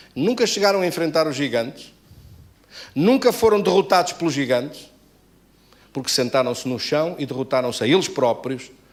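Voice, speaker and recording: A fairly high-pitched man speaks at a moderate pace with very wide pitch swings. Long pauses come often. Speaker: pastor. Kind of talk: sermon.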